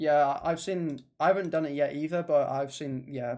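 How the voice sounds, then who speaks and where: A man with an English accent speaks in a dark, mellow tone at a fairly high pitch. His intonation is fairly even against a quiet background. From England. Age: 20s. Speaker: gaming streamer. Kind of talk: casual chat. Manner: fast; halting.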